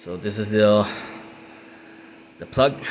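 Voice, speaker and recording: A man with a non-native accent and fairly low pitch, speaking at a fairly slow pace over noticeable background noise. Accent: non-native English, self-described. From Puerto Rico. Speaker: car DIY youtuber. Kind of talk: tutorial. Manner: hesitant, many fillers.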